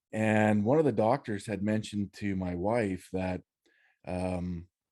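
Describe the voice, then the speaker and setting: A man's dark, mellow tone in a Canadian Prairie accent. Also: quiet background. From Saskatchewan, Canada. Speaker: freedom activist. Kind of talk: interview testimony. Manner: halting, many fillers.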